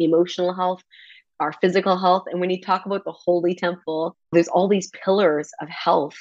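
In a plain, everyday voice of medium pitch, a woman talks at a moderate pace against a quiet background. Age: 30s. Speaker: fitness coach and nutritionist. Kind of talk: interview.

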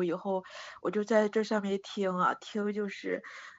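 At a moderate pace, a woman talks at medium pitch. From Shandong, China. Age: 40s. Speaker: caller. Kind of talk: call-in advice chat. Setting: phone call. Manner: halting.

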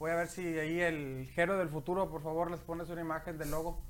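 Using an ordinary speaking voice, this man keeps a moderate pace and a fairly high pitch. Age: 30s. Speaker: podcast host. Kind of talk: casual chat. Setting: home studio.

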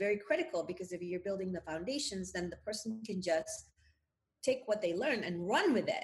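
At a moderate pace, a woman with a medium pitch and a somewhat breathy voice speaks with lively intonation. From Indonesia. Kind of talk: interview.

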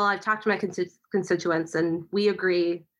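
Over a silent background on a very clean recording, a woman speaks at a moderate pace. Her American accent comes with a bright, sharp tone. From Kansas City. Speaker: podcast co-host. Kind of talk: casual chat.

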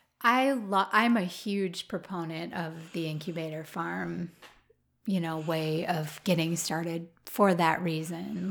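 Fairly even intonation and an Upper Midwest accent come through in a very clean recording with a silent background. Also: woman. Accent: Upper Midwest American. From Minnesota, Twin Cities suburb. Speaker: flower farmer. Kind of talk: interview. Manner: halting, many fillers.

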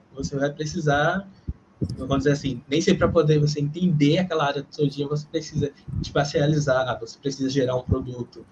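A man's fairly high, somewhat breathy voice at a moderate pace, with fairly even intonation. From Pernambuco, Brazil (Recife); childhood partly in Rio. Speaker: geomarketing professional. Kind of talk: casual interview chat. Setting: live video podcast. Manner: halting, repeats words.

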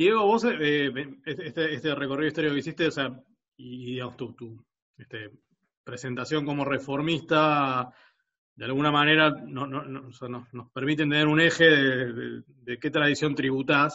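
Here a man speaks with a Rioplatense accent at a fairly high pitch. His pace is moderate, with big swings in loudness. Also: ordinary pitch variation. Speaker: podcast host. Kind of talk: casual chat.

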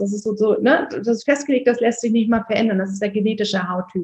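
Fairly quick, somewhat breathy speech from a woman at a fairly high pitch. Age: 30s. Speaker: skin health practitioner. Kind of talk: podcast interview.

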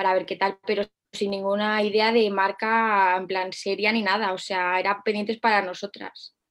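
The pace here is moderate. It is a plain, everyday voice. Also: woman. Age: 20s. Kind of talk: interview.

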